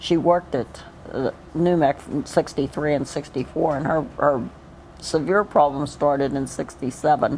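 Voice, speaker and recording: A woman with an American accent speaks at a very deep, low pitch with fairly even intonation. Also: moderate pace. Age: 60s. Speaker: cancer patient. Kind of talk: documentary interview. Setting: cancer treatment center. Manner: halting.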